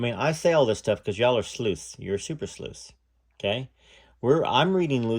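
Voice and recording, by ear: The intonation rises and falls in a lively way. It belongs to someone reading aloud in a natural voice.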